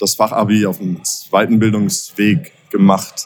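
A man with a fairly low pitch. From Baden-Württemberg, between Pforzheim and Karlsruhe. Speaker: entrepreneur, event organiser. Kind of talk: interview. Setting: at a live event venue. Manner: many filler sounds (äh, ähm).

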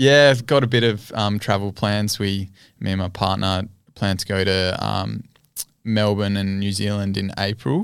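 With an Australian accent, a man talks in a fairly low voice at a moderate pace. His intonation is fairly even, and the recording is very clean with a silent background. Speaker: cricketer. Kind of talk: casual interview. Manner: hesitant, many ums.

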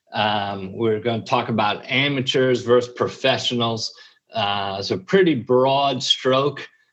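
A man with a plain, everyday voice, medium pitch, and ordinary pitch variation speaks at a fairly slow pace in an American accent. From New York. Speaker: podcast host, entrepreneur, Marine veteran and minister. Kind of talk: casual conversational chat.

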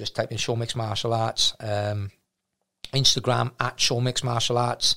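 Bright and sharp in tone, a man with a South Wales accent speaks at medium pitch and a moderate pace in a flat monotone. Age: 40s. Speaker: martial arts gym owner. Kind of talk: casual chat.

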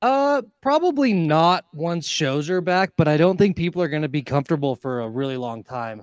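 A speaker with an American accent talks at a moderate pace with hardly any pauses and very wide pitch swings, in a very clean, dry, close recording with a silent background and no echo. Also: man, fairly high pitch for a man. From Nevada, Carson City. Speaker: DJ/electronic music artist. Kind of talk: casual chat.

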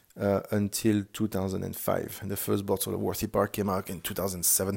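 A man with a French accent, a fairly low pitch and a moderate pace. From France; Loire Valley, France. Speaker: podcast host, rum expert. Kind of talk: solo podcast monologue. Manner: halting, with frequent filler words.

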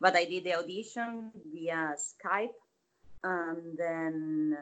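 With a fairly low pitch, a woman speaks using lively intonation. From Latin America. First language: Spanish. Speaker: opera actress and theater teacher. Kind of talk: casual interview.

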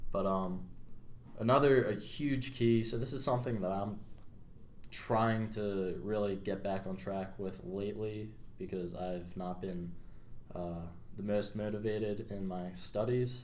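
A man with an American accent, fairly low in pitch, at a fairly slow pace with long, frequent pauses, ordinary pitch variation and audible room echo. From Pennsylvania, US (Media). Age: 20s. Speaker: college student. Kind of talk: casual chat.

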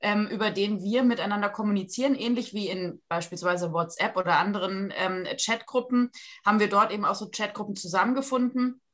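A woman's plain, everyday voice, fairly high in pitch, with ordinary pitch variation. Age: 40s. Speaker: surgeon. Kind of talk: interview.

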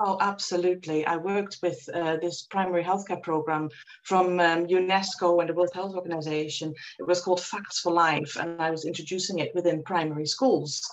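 Over noticeable background noise, a woman talks at a fairly quick pace in a Dutch accent. Her fairly low voice has a monotone, flat intonation. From Netherlands. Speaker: reiki practitioner and former nurse. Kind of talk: interview.

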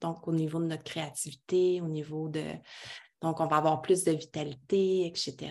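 A woman speaks at a fairly slow pace with a very deep, low pitch. Her intonation is monotone and flat. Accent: Quebec. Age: 30s. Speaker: women's circle facilitator. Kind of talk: casual interview.

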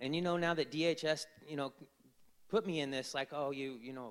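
An unremarkable speaking voice with ordinary pitch variation at a moderate pace. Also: man. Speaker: fatherhood program facilitator. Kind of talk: testimony. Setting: church with congregation.

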